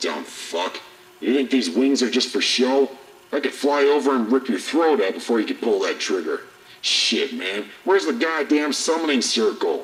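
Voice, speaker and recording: A man performs a put-on character voice. It is fairly high-pitched and moves at a moderate pace. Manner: aggressive, taunting, profane.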